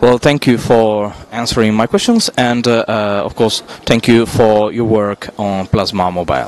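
A man has an unremarkable speaking voice at a medium pitch, talking at a fairly slow pace. His intonation is fairly even, and the sound is dry with no echo. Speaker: tech video interviewer; interviewer. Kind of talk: interview. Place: hall. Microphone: handheld.

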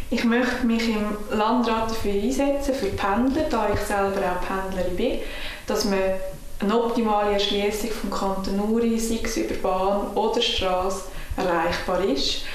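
A woman with a Swiss German accent speaks at a fairly high pitch with fairly even intonation, with light background noise and audible room echo. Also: moderate pace. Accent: Swiss German (Uri). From Switzerland (canton Uri). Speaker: political candidate. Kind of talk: campaign self-introduction. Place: home room.

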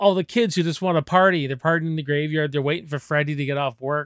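A male voice over quiet surroundings. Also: dry sound with no echo. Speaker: movie reviewer. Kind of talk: casual movie discussion vlog. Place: home room. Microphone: studio mic.

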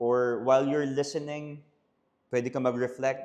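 This man talks at a moderate pace in a fairly high voice, his intonation fairly even. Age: 30s. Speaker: pastor and podcast host. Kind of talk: casual Taglish podcast monologue.

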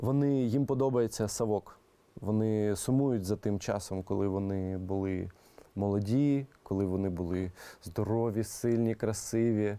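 A man with a Russian accent, fairly low and dark, mellow in tone, at a fairly slow pace with ordinary pitch variation. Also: very even loudness. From Crimea, Kerch. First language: Russian (speaking Ukrainian). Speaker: music producer. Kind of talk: interview. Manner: halting.

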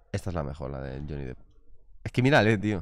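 The man talks at a fairly quick pace in an animated tone. His voice sounds dry, with no echo. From Spain. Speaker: streaming interview host. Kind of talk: casual chat on a live stream. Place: shop. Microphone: studio mic.

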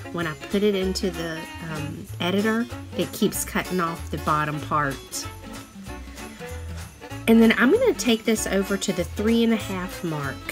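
A woman's speech with long, frequent pauses over music in the background. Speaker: crafter. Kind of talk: craft tutorial voiceover.

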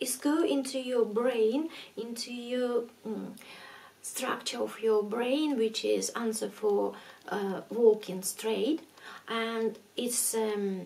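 A soft-spoken woman at a fairly high pitch, very slow pace and ordinary pitch variation. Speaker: ASMR creator. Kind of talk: ASMR talk to camera about addiction. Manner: soft-spoken, gentle, relaxing. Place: home room.

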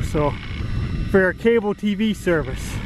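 A dry sound with no echo and noticeable background noise. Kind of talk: casual vlog chat. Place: open country. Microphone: old recording.

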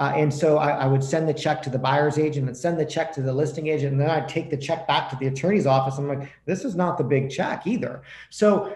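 Talking at a very fast pace with hardly any pauses, a man shows ordinary pitch variation amid audible room echo. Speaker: podcast guest. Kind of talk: interview answer. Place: home room. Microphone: video call.

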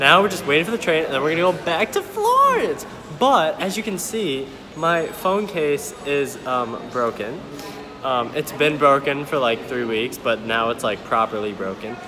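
The man's delivery is moderately paced. Clear background music accompanies him. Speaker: traveler vlogger. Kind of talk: casual vlog chat.

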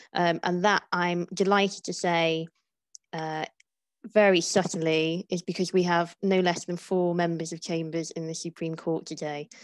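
Against a quiet background, a woman uses an unremarkable speaking voice at a fairly low pitch, with fairly even intonation, a moderate pace and a dry sound with no echo. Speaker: webinar host. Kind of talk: webinar introduction. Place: home room. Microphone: earbuds.

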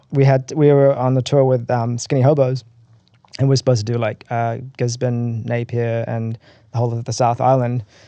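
A man with a New Zealand accent speaks in a medium pitch and a dark, mellow tone, keeping his intonation flat and monotone. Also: moderate pace. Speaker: rock band vocalist. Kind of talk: casual interview chat.

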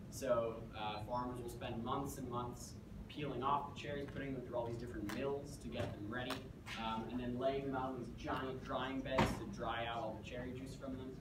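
The speech comes at a moderate pace over loud background noise. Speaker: presenter. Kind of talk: lecture. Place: classroom. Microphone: camera far.

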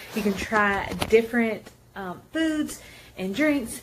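The speech moves at a fairly slow pace over light background noise. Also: woman. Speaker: vlogger. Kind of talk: casual vlog chat. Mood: cheerful, excited. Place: home room. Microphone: phone near.

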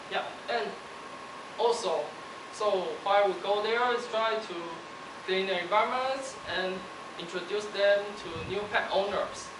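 Against noticeable background noise, a man with a high pitch talks at a fairly slow pace with fairly even intonation and long, frequent pauses. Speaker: university student. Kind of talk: speech. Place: hall.

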